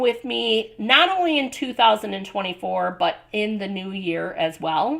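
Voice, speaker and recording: A woman speaks with a bright, sharp tone. Her pace is very slow. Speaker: card-making craft host. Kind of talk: live craft stream sign-off. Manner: casual, chatty.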